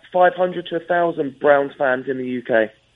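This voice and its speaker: A man speaks with an English accent. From England. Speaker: fan club organizer. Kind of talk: phone interview.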